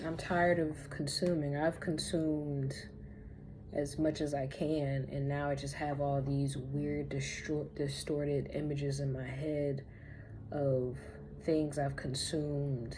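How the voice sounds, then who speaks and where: A woman's very deep, low pitch, somewhat breathy, with a dark, mellow tone and monotone, flat intonation, in audible room echo. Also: fairly slow pace. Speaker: spiritual lifestyle vlogger. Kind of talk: casual vlog monologue. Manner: slow.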